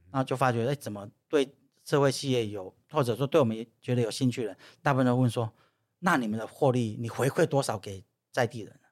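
On a very clean recording with a silent background, a man with a plain, everyday voice speaks at a fairly quick pace and medium pitch. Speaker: former political staffer and social entrepreneur. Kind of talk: casual interview chat.

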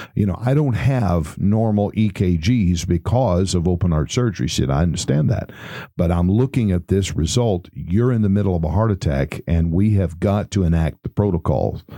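In a Texan accent, a man talks at a moderate pace in a very deep, low pitch, hardly pausing. His intonation is lively and his loudness very even. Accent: Texan Southern US. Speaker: pastor. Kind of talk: personal testimony recounting his heart attack. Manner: conversational storytelling with folksy colloquial humor; relaxed with frequent hesitations and uhs.

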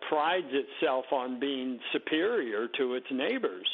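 At a fairly slow pace, a man with a fairly high pitch talks in an ordinary speaking voice. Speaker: newspaper columnist. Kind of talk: radio interview.

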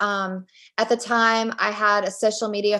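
At a fairly slow pace, a woman with an unremarkable speaking voice talks at a medium pitch with fairly even intonation. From Virginia, Richmond. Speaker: author. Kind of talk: interview.

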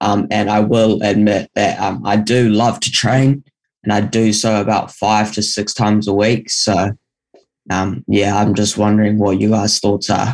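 In a New Zealand accent, a man speaks at a fairly slow pace with a fairly low pitch. His intonation is flat and monotone, and his loudness stays very even. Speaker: caller. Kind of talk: listener question. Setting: video call. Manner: halting.

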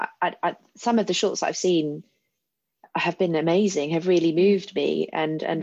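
A plain, everyday voice moves at a fairly slow pace with fairly even intonation over a quiet background. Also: woman. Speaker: interviewer. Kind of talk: interview.

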